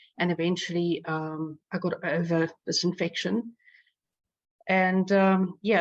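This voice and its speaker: Against a quiet background, a woman with a South African accent speaks in a fairly low pitch with fairly even intonation. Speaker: patient advocate. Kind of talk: personal testimony. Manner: halting, many fillers.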